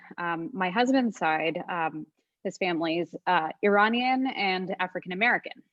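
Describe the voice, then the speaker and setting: A woman at medium pitch talks at a moderate pace with ordinary pitch variation. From Montreal, Canada. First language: Bengali. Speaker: technologist. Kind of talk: casual chat.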